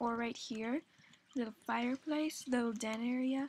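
Soft-spoken and high-pitched, a woman talks at a moderate pace. Her pitch shows ordinary variation. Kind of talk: casual game tour talk to viewers. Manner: soft-spoken, uneven volume; energetic, chatty.

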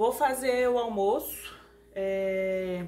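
A woman speaks over light background noise. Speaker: family vlogger. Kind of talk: casual vlog chat. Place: home room. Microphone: phone near.

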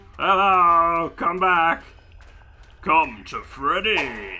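A man speaks very slowly in a put-on character voice pitched high. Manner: beckoning.

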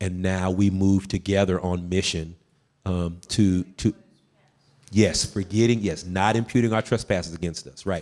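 In a Southern US accent, the speaker moves at a moderate pace with fairly even intonation on a very clean recording with a silent background. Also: man. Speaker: Pentecostal preacher. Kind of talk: discussion talk. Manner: toned down from preaching style.

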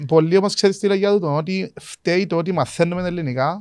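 The background stays quiet. A man speaks at a moderate speed, his pitch varying in an ordinary way. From Cyprus. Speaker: podcast host. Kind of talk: casual interview chat. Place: studio. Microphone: studio mic.

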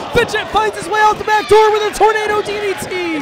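Someone shouts at a fairly quick pace. Loud music plays in the background. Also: man. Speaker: wrestling commentator. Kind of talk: live wrestling commentary. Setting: live event with crowd noise. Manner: excitable, rapid-fire play-by-play with shouted exclamations; animated, gasping reactions. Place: hall. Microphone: headset.

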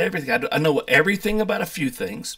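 A man speaks with an American accent and lively intonation. The background is quiet. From US South, North Carolina mountains. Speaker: YouTuber, pastor, chef and distiller. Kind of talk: casual vlog monologue. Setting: home office. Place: home room. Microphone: webcam.

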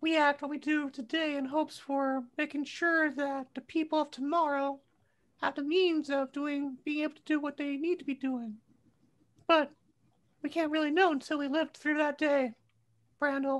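A put-on character voice, pitched high and moving at a moderate pace. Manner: laid-back, rambling, wise.

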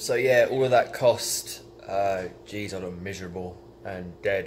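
Over light background noise, a man with a fairly low pitch sounds somewhat breathy. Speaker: vlogger. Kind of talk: casual vlog chat. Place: home room. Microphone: phone near.

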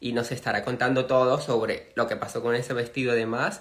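In a quiet background, a man speaks at a moderate pace. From Venezuela. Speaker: interviewer, channel host. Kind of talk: live stream interview. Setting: live video stream. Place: home room. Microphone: phone near.

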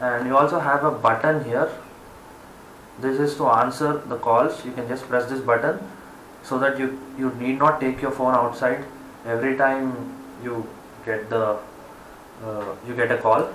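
A man at a moderate pace with long, frequent pauses and fairly even intonation, audible room echo and light background noise. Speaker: product reviewer. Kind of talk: product review. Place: home room. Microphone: camera far.

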